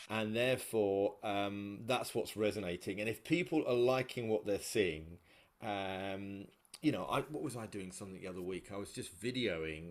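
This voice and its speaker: A man talks at a moderate pace, fairly low in pitch, with ordinary pitch variation. He has an ordinary speaking voice. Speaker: podcast host. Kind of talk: podcast interview conversation.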